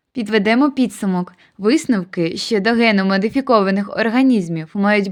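An ordinary speaking voice from a woman, medium in pitch with ordinary pitch variation, on a very clean recording with a silent background. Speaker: medical college student. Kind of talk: student presentation narration. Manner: formal.

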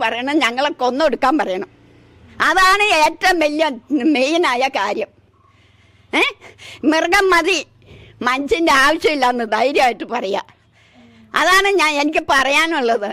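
A woman's raised, projected voice, high-pitched, animated in tone, with lively intonation. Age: 70s. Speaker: elephant attack eyewitness. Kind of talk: emotional testimony.

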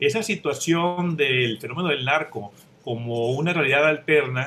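Light noise sits in the background while a man talks at a medium speed, his pitch rising and falling in an ordinary way. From Mexico. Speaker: writer; panelist. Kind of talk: panel discussion. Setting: video call. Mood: calm, reflective. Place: home room. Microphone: webcam.

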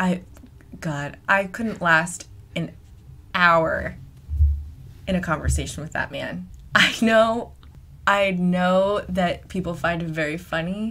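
Very slow, fairly low voice of a woman, bright and sharp in tone, with long, frequent pauses. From US Northeast (New Hampshire). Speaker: podcast host. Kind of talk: casual chat. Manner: animated.

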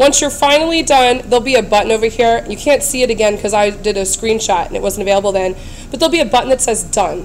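A woman speaks very fast with ordinary pitch variation. Noticeable background noise is audible. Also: fairly high pitch for a woman. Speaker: teacher making tutorials. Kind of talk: tutorial. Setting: screencast recording. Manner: friendly, explanatory.

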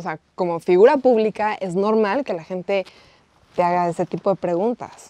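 A woman in a Mexican accent, medium in pitch with ordinary pitch variation, dark and mellow in tone, with big swings in loudness and a dry sound with no echo. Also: moderate pace. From Mexico. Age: 20s. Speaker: interviewer. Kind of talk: casual interview. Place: studio.

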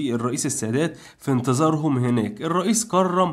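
This man has a normal speaking voice at a fairly high pitch. His intonation is lively. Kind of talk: scripted narration.

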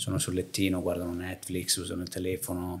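A man with a very deep, low pitch talks very fast in a somewhat breathy voice. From northern Italy (Lake Garda area), born in Naples; Northern Italy. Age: 30s. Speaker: entrepreneur, hair transplant clinic owner; podcast guest. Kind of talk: casual interview chat; interview answer. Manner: halting, frequent repetitions and fillers. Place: home room. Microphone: studio mic.

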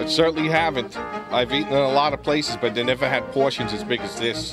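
Loud music plays behind a man who speaks at a very fast pace. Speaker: retired police officer. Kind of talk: customer testimonial. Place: cafe. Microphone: phone near.

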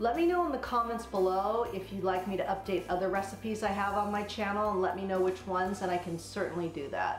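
A woman at a fairly quick pace, with audible room echo and faint music in the background. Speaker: cooking vlogger. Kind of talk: casual vlog chat. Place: kitchen. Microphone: camera far.

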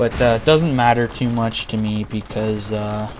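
Quiet and very slow, a man speaks at a medium pitch with fairly even intonation over noticeable background noise. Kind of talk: casual gameplay commentary. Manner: quiet, low volume.

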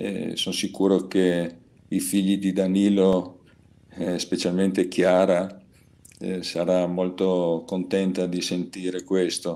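A man speaks in a very deep, low pitch with a dark, mellow tone and monotone, flat intonation. His pace is very slow, with long, frequent pauses. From Trieste, northeast Italy. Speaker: peace activist. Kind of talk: webinar presentation. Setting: video call. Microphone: video call.

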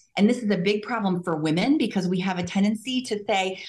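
This woman's voice is somewhat breathy. Her pitch is medium. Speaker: physician in anti-aging medicine; conference presenter. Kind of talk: interview. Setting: remote call. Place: hall. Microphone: camera far.

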